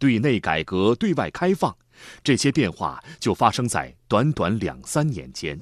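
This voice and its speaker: Over a quiet background, a man speaks at a fairly slow pace with vocal fry and very wide pitch swings. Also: medium pitch for a man. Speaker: documentary narrator. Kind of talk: state documentary narration, solemn scripted voiceover with measured, rhetorical delivery. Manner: formal, stately, steady pace with emphatic rising cadence on slogans.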